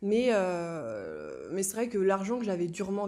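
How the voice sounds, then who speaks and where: A woman's dark, mellow tone at medium pitch and a moderate pace. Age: 20s. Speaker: young stock investor. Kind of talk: interview. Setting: in person, shared small mic. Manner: hesitant, many fillers.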